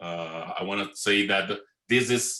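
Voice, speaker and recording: Speaking in a Brazilian Portuguese accent, a man talks with a very deep, low pitch. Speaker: web developer and conference speaker. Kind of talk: conference talk. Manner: fast.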